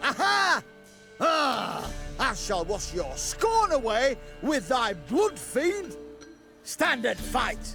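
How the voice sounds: Over faint background music, a man does a put-on character voice at an extremely high pitch, very slow, with a bright, sharp tone, vocal fry and big pitch swings.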